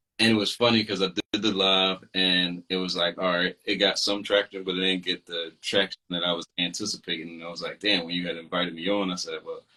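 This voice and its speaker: A man's very deep, low voice, flat and monotone, at a fairly quick pace with hardly any pauses. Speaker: podcast host and self-published author. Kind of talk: casual chat on a live stream. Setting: social media live video call.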